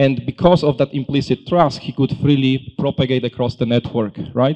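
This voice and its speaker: With a European accent, a man speaks at a moderate pace and medium pitch, his dark, mellow tone carrying fairly even intonation in a dry, close sound with no echo. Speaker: tech company solutions consultant. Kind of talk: conference presentation. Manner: halting, many fillers.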